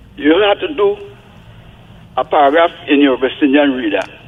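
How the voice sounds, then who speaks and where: Noticeable background noise accompanies a man talking at a moderate pace, his fairly high pitch varying in an ordinary way. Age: 80s+. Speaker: caller. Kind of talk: call-in radio comment.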